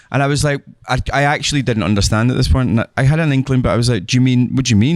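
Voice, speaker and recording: A man with a Scottish accent talks very fast at a medium pitch, with ordinary pitch variation and a dry, close sound without echo. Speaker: actor and film director. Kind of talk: interview answer.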